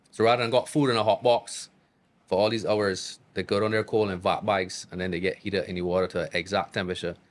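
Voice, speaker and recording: With a Barbadian accent, a man speaks at a very fast pace in a fairly low voice, captured in a very clean recording with a silent background. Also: fairly even intonation. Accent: Barbadian accent, kept natural. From Barbados. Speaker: chef. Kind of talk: casual chat. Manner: casual, repetitive.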